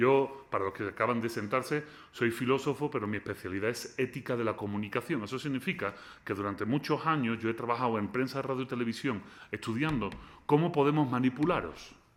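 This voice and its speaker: A man's medium-pitched voice, lively in intonation, at a fairly quick pace. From Spain. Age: 40s. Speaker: philosopher. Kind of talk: lecture. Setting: lecture hall with student audience. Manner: animated.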